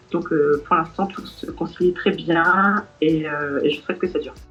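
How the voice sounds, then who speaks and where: With music in the background, the speech moves at a fairly slow pace and a fairly even intonation. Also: woman. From Brittany, France. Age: 20s. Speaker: vocational student. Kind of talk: testimony. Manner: hesitant, many fillers.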